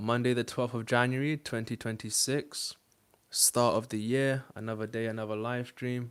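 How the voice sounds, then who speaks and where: A man with a British accent speaks at a medium pitch in a flat monotone, on a very clean recording with a silent background. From UK. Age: 20s. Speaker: dating coach and streamer. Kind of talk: live stream monologue. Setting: live stream. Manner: casual, with frequent fillers.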